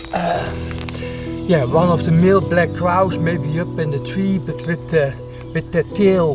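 Over clear background music, a man talks at a fairly slow pace with long, frequent pauses and ordinary pitch variation, the sound dry with no echo. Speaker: wildlife photographer vlogger. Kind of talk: casual vlog chat.

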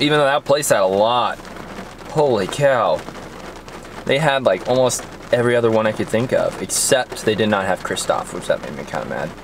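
A man speaks at a moderate pace with noticeable background noise. The sound is dry, with no echo. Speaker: vlogger. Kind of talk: casual vlog chat. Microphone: phone near.

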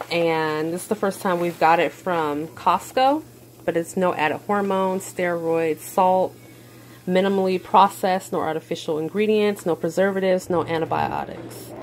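A woman speaks in a plain, everyday voice, fairly low in pitch, at a moderate pace. Her intonation is fairly even over light background noise. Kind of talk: casual vlog chat. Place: kitchen. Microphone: phone near.

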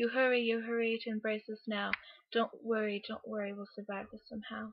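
At a moderate pace, a woman speaks with a fairly high-pitched voice. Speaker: amateur poet. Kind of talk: poetry reading. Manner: mild stutter. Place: home room. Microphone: webcam.

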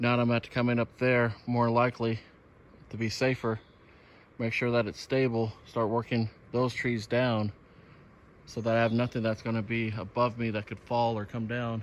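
A man speaks at a moderate pace and medium pitch, with little pitch movement.

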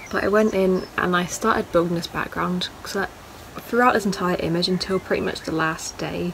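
Noticeable background noise sits behind a soft-spoken woman at medium pitch. She talks at a fairly quick pace with fairly even intonation. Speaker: photographer, art student. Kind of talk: casual talk to camera.

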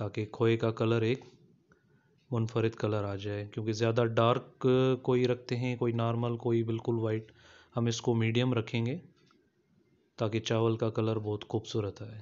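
A man speaks at a fairly slow pace with long, frequent pauses. His intonation is monotone and flat. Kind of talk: cooking tutorial narration. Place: kitchen. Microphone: phone near.

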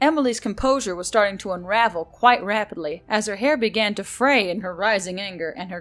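The speaker has an unforced reading voice.

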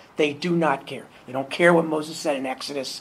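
At a fairly quick pace and a fairly high pitch, a man talks with ordinary pitch variation amid noticeable background noise. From New York City. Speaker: activist. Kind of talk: panel discussion.

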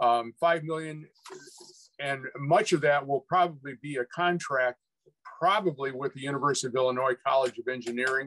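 This man has a normal speaking voice, talking at a moderate pace with a fairly high pitch and ordinary pitch variation. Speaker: rail advocate; panelist. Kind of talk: webinar presentation. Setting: video call. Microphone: video call.

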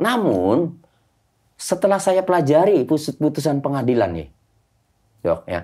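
Against a quiet background, a man with vocal fry talks at a fairly slow pace, his pitch swinging very widely. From Indramayu, West Java, Indonesia. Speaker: lawyer. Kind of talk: podcast interview. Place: studio.

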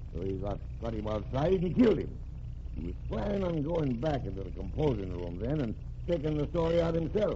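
At a moderate pace, a man puts on a gruff character voice. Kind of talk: 1940s radio acting. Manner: gruff, plain-spoken, ungrammatical.

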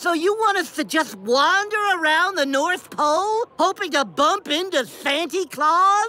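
In a cartoonish character voice, a woman speaks at extremely high pitch and a fairly slow pace. Her tone is bright and sharp, with lively intonation.

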